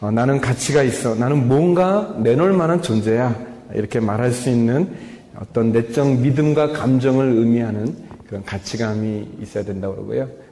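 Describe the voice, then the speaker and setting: A man speaks at a medium pitch and moderate pace, his tone animated and intonation lively. Noticeable background noise runs underneath. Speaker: pastor. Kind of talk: sermon. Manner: starts quiet, gets louder as excited; animated, humorous, self-deprecating.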